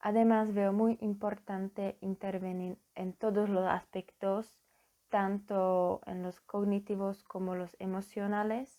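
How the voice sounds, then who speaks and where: Speaking at a very slow pace in a flat monotone, this voice carries a Slovak accent on a very clean recording with a silent background. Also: woman. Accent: foreign accent, Slovak. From Slovakia. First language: Slovak (speaking Spanish). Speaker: psychology student. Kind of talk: conference presentation. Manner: formal; halting.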